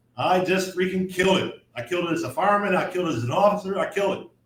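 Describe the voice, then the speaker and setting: Loud and very fast, a man speaks at a high pitch. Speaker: firefighter. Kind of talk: casual chat.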